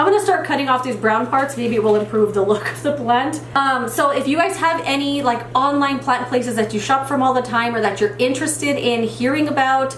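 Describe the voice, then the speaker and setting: Amid noticeable background noise and audible room echo, a woman with a high pitch talks at a moderate pace. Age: 30s. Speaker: plant YouTuber. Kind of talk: casual vlog chat while repotting. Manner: casual, filler-heavy.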